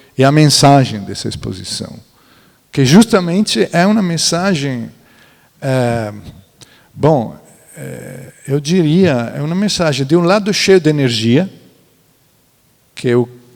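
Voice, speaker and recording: Speaking at a fairly slow pace with long, frequent pauses, a man uses lively intonation and a fairly high pitch. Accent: Italian. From central Italy, near Florence. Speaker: architect and museologist. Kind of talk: panel talk. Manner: halting.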